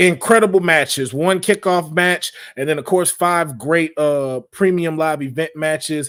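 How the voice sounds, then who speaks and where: The man's voice sits fairly high, with ordinary pitch variation. He speaks at a moderate pace. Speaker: wrestling show host. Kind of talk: live show chat.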